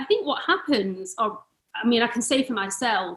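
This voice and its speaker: This woman's voice sits fairly high. Her intonation is lively. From United Kingdom. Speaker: yoga teacher and biker. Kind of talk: casual interview chat.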